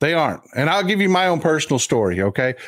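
Very fast, animated speech in an American accent. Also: man. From Texas. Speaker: podcast guest and commentator. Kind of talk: casual heated chat. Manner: animated, profane.

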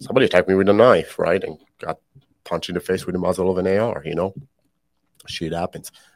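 A man with a very deep, low voice talks at a very fast pace, his intonation fairly even. He stops often for long pauses, and the sound is dry and close with no echo. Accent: Israeli. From Israel. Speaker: podcast host, military veteran. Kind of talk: personal confession. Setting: studio.

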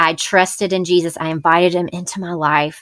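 With an American accent and a moderate pace, a woman talks on a very clean recording with a silent background. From US South, Memphis Tennessee. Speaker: podcast coach and podcast host. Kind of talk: casual chat, interview. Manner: nervous at first, friendly.

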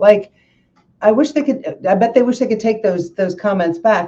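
A woman's voice comes through somewhat breathy. Her tone is dark and mellow. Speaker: podcast host. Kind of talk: interview. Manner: animated.

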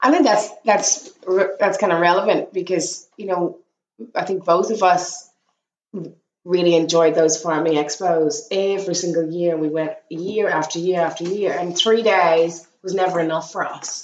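A woman speaks at a moderate pace with a fairly low pitch and fairly even intonation. She has an ordinary speaking voice. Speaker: sheep farmer and podcast host. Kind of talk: casual chat.

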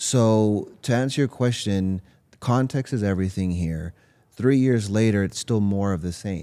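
A man with an American accent speaks in a dark, mellow tone at a fairly low pitch. The recording is very clean, with a silent background. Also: ordinary pitch variation, fairly slow pace. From US West Coast, Los Angeles. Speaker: psychologist. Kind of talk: interview.

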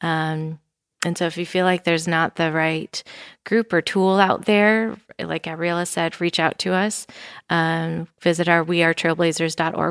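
A woman with an American accent speaks at a fairly low pitch and a fairly slow pace, with monotone, flat intonation. The recording is very clean, with a silent background and a dry, close sound with no echo. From Wisconsin. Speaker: nonprofit cycling organization staffer. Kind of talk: casual interview. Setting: studio.

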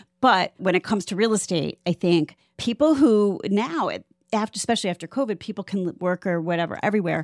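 An ordinary speaking voice from a woman with an American accent, medium in pitch, fairly quick, with lively intonation, in a very clean recording with a silent background and a dry, close sound with no echo. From Ohio, Cleveland. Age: 50s. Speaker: podcast host, realtor. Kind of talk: casual chat.

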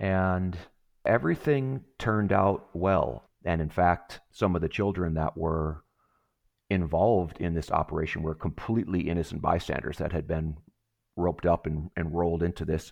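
Over a quiet background, a man with an American accent talks at a moderate pace in a very deep, low voice. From Wisconsin. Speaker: retired special forces soldier, nonprofit executive. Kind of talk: podcast interview. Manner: halting, frequent repetitions.

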